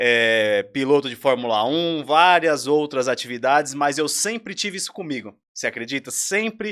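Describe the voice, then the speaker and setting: Using a normal speaking voice, a man talks at a moderate pace with lively intonation and hardly any pauses, in a very clean recording with a silent background. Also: fairly high pitch for a man. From São Paulo, East Zone (Itaquera), Brazil. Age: 20s. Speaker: entrepreneur and chef. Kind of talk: podcast interview.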